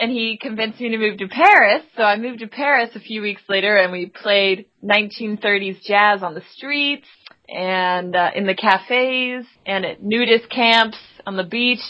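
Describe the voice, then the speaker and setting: With an American accent, a woman speaks in an ordinary speaking voice at a fairly high pitch, using ordinary pitch variation and big swings in loudness. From Texas. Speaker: singer-songwriter. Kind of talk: casual podcast interview.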